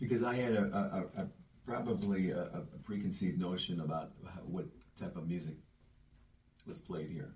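Speaking at a moderate pace with long, frequent pauses, a man with an American accent sounds somewhat breathy and uses lively intonation. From US Midwest, Cleveland. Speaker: musician. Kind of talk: casual chat. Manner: halting.

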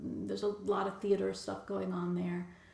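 There is audible room echo as a woman talks in an American accent. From Bronx, New York. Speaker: nonprofit leader. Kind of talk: interview.

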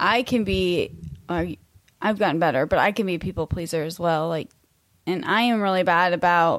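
Recorded very cleanly against a silent background, a woman speaks at a moderate pace in a normal speaking voice, medium in pitch with ordinary pitch variation. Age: 30s. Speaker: teacher and podcast co-host. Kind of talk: casual chat.

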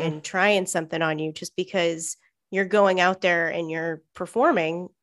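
Very clean recording, silent background, a woman with a normal speaking voice at medium pitch and moderate pace. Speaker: podcast co-host. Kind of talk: casual chat.

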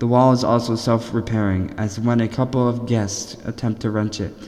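A man's nervous-sounding voice with fairly even intonation, over noticeable background noise. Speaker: podcast host. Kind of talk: reading aloud. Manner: nervous, stumbling.

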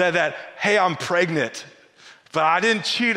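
Pitch moves with ordinary variation. The delivery is an unforced reading voice.

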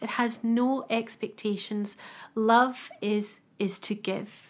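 The tone is warm and gentle, with monotone, flat intonation. Delivery comes at a very slow pace. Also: woman. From UK. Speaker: podcast host with stiff person syndrome. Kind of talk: casual chat. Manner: warm, gentle, emotional.

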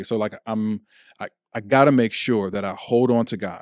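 A man with an American accent speaks at a moderate pace in a fairly low, monotone, flat voice. The very clean recording has a silent background and a dry, close sound with no echo. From Chicago, Illinois. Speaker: pastor. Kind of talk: casual chat.

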